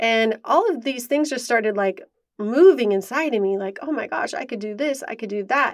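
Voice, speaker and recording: A woman with fairly high pitch and lively intonation is captured on a very clean recording with a silent background. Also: moderate pace. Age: 30s. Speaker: podcast host sharing personal story. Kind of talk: personal testimony.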